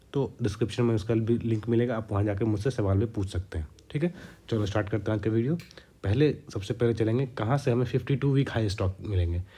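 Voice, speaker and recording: A man speaks in a somewhat breathy voice with a dark, mellow tone at a medium pitch. His pace is moderate and his pitch varies in an ordinary way. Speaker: stock trading YouTuber. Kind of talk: tutorial.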